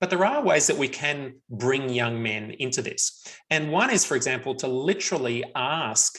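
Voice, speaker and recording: Here a man with an Australian accent speaks at a medium pitch. His pace is moderate, with ordinary pitch variation. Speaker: researcher on men and violence prevention. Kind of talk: webinar Q&A answers.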